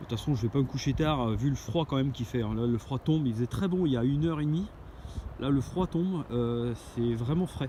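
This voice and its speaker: At a fairly quick pace, a man speaks with a medium pitch and ordinary pitch variation. His loudness stays very even. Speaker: outdoor gear vlogger. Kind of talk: outdoor vlog. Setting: outdoors, camping on a dune. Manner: hesitant, many fillers.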